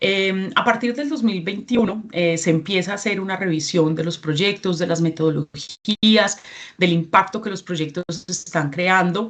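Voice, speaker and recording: A woman with a Colombian accent speaks at a fairly slow pace with ordinary pitch variation. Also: medium pitch for a woman. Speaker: regional representative of a certification NGO. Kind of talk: training presentation.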